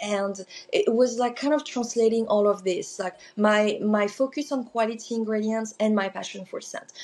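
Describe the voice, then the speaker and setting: A woman with a French accent, fairly high in pitch, at a moderate pace with fairly even intonation. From southern France. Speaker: small business owner, candle maker. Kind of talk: podcast interview.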